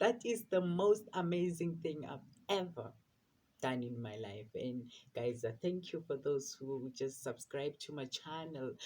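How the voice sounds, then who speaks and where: A man's somewhat breathy voice with lively intonation at a fairly slow pace. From South Africa, rural area. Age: 20s. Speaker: vlogger. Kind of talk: casual personal vlog. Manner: halting, many fillers and repetitions.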